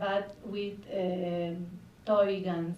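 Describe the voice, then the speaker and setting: A woman speaks at a medium pitch in a Spanish accent, her intonation monotone and flat. Noticeable background noise and audible room echo fill the recording. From Argentina. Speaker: film director. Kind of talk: festival Q&A. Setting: stage with audience. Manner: halting.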